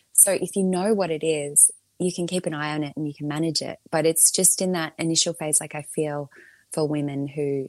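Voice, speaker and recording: Someone with an Australian accent talks at a fairly quick pace with ordinary pitch variation, in a dry, close sound with no echo. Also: woman. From Melbourne, Australia. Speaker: podcast creator and mother. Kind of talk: casual interview chat.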